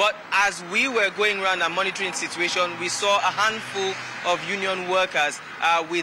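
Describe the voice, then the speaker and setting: Over noticeable background noise, a man with a high voice speaks at a moderate pace with fairly even intonation, the sound dry with no echo. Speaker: field correspondent. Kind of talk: news field report. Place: street. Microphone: handheld.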